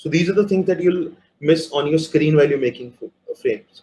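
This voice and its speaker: Talking at a very fast pace, a man with a high pitch and a dark, mellow tone keeps his intonation fairly even. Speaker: multimedia producer giving a workshop. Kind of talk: live workshop talk. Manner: hesitant, many fillers.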